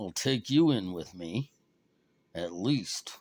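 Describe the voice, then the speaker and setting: Slowly, at a very slow pace, a man performs a put-on character voice at a fairly low pitch in a very clean recording with a silent background. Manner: through gritted teeth, grudging.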